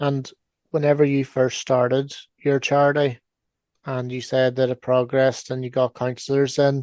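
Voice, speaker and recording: A man at medium pitch speaks in a monotone, flat intonation, with a dry, close sound and no echo. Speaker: podcast host. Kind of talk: podcast interview questions.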